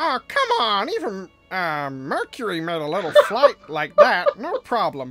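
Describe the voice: A put-on character voice at a fairly high pitch and fairly slow pace, with faint music in the background.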